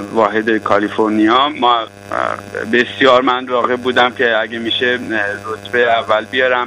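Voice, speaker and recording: A man's medium-pitched voice, monotone and flat, at a moderate pace over noticeable background noise. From Iran, Tehran. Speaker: physician and EMBA graduate giving testimonial. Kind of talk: testimony.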